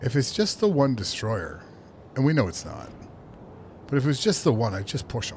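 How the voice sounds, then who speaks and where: The speech comes at a fairly quick pace and is somewhat breathy, with very wide pitch swings, big swings in loudness, long, frequent pauses and audible room echo. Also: man, medium pitch for a man. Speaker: video game streamer. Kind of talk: live gameplay commentary. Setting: home office. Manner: soft-spoken.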